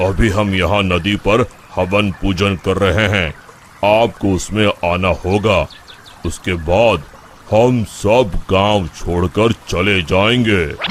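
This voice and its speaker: Over clear background noise, a man uses a cartoonish character voice at a fairly low pitch, talking very slowly with fairly even intonation. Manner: calm, measured.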